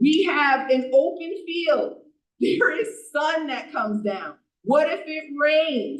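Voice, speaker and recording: A woman speaks loudly and at a fairly slow pace. Her pitch is high. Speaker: borough council member. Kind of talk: council meeting debate.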